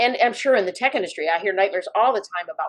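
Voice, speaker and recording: A woman talks with an American accent. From Chicago, US Midwest. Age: 50s. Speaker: newspaper publisher and journalist. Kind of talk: interview.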